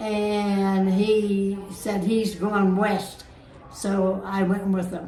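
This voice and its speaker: In a room with audible echo and noticeable background noise, a woman speaks very slowly at a medium pitch, her intonation monotone and flat. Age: 80s+. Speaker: pageant contestant. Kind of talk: interview.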